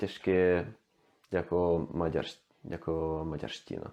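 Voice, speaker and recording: Man in a Swedish accent with a very deep, low pitch, dark, mellow tone, monotone, flat intonation and very slow pace. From Sweden. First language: Swedish (speaking Czech). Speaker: language learner, youtuber. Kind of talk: language demonstration monologue. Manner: halting, many fillers and restarts.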